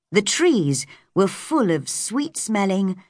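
What you hear is an unforced reading voice.

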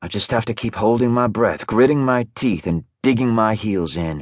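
A man speaks in an unremarkable speaking voice at medium pitch and a moderate pace. The background is quiet. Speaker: audiobook narrator. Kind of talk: dramatic first-person audiobook narration. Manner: intimate, brooding, emotionally charged; shifts into flustered, defensive tone, with lively voiced dialogue.

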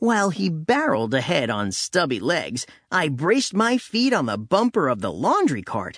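A man with a fairly high pitch and vocal fry speaks at a moderate pace in an animated, theatrical tone. His pitch swings very widely, with hardly any pauses. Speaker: audiobook narrator. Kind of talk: audiobook narration, dramatic first-person story. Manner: animated, theatrical, doing character voices; playful, tall-tale swagger with comic timing.

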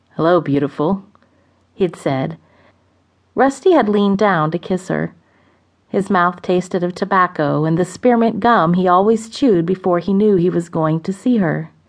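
A woman's dramatic tone comes through at a moderate pace against a quiet background. Her pitch is medium, with ordinary variation. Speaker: audiobook narrator. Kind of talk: dramatic audiobook narration of a romance novel. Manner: expressive, measured storytelling pace with dramatic pauses.

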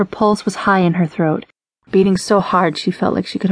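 A natural reading voice with fairly even intonation against a quiet background.

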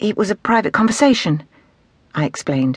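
A woman's somewhat breathy voice with very wide pitch swings, in a dry, close sound with no echo. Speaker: audiobook narrator. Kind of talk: dramatic audiobook narration.

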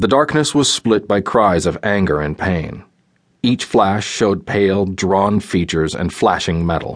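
In a dramatic tone, a man talks at a fairly slow pace with a fairly low pitch and ordinary pitch variation. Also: quiet background. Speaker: audiobook narrator. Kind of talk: scripted audiobook narration of a fantasy action scene. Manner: dramatic, tense and vividly paced, building intensity with the fight.

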